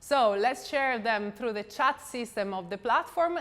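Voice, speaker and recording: A woman's fairly high voice in an Italian accent, at a fairly slow pace, with lively intonation. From Italy. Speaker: event host. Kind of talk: event hosting. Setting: company showroom.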